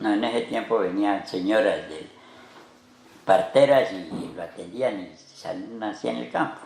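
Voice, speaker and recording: Speaking at a fairly slow pace and fairly low pitch, a man shows ordinary pitch variation and big swings in loudness amid audible room echo. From Colombia, Pacho, Cundinamarca. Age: 80s+. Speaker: farmer. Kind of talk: interview storytelling.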